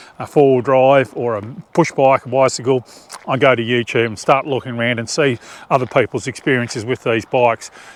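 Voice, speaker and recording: Here is a speaker with an Australian accent. The pace is fairly quick. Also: man. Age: 50s. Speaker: outdoor adventure vlogger. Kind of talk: casual product review. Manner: halting.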